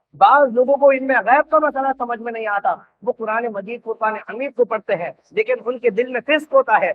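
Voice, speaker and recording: This man's voice sits at an extremely high pitch, with ordinary pitch variation. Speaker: Islamic scholar. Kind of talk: religious sermon.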